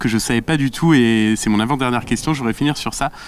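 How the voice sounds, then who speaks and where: Very fast speech from a man at a medium pitch, with ordinary pitch variation. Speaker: interviewer. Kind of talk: interview.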